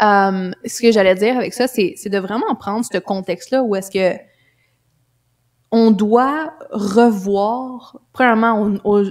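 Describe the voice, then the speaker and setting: This woman has a Quebec accent and a fairly high pitch. She speaks at a very slow pace. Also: ordinary pitch variation. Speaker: life coach and mother. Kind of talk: casual interview conversation.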